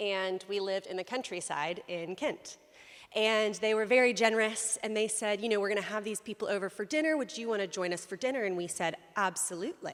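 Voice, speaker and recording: A woman with a Southern US accent speaks at a fairly quick pace, her medium pitch showing ordinary variation. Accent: American Southern. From US South, South Carolina. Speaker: lay preacher. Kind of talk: sermon. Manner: conversational with many fillers.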